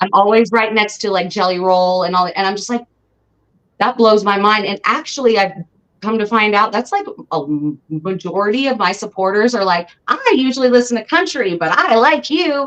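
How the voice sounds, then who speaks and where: Using an ordinary speaking voice, a woman with an American accent talks in a fairly high pitch at a moderate pace with lively intonation. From Southern California. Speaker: rapper and singer. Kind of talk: interview.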